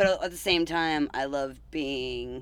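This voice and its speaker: This speaker has an Australian accent. The recording is very clean, with a silent background. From rural Australia. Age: 30s. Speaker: punk band bassist. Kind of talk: casual interview chat. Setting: band van.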